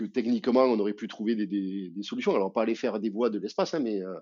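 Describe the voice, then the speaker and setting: Speaking at a fairly quick pace, a man with a southern French accent has a fairly low pitch. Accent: southern French, sing-song. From southern France, Albi. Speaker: amputee athlete, association president. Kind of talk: podcast interview. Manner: hesitant, many fillers.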